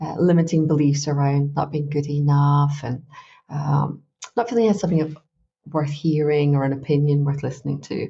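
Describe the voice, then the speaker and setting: Speaking at a fairly quick pace in a Glaswegian accent, a woman has a very deep, low pitch and a somewhat breathy voice. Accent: Glaswegian Scottish. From Scotland, Glasgow. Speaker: life coach. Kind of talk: interview. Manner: chatty, relaxed.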